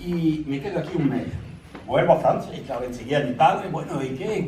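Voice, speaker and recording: A man speaks at a fairly quick pace and fairly high pitch, with lively intonation. Audible room echo and noticeable background noise surround his voice. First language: French (speaking Spanish). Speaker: son of exiled republican. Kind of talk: public talk. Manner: halting.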